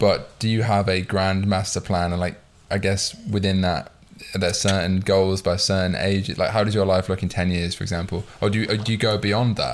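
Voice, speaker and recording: Speaking at a fairly quick pace, a man with a British accent uses a fairly low, flat, monotone voice. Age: 20s. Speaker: podcast host. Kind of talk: casual chat.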